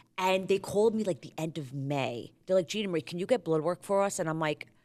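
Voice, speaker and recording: The speaker has a New York accent and an animated tone. Pitch varies in an ordinary way. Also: woman. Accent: Staten Island (New York). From US Northeast, Staten Island, New York. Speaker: reality TV contestant. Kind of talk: casual chat.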